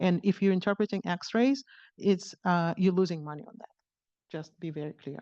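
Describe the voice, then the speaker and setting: Against a quiet background, with a dry, close sound and no echo, a woman with a non-native accent speaks at a moderate pace and medium pitch. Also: ordinary pitch variation, big swings in loudness. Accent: foreign. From outside the US. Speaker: radiologist giving invited talk. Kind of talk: conference lecture. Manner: hesitant, many fillers and restarts.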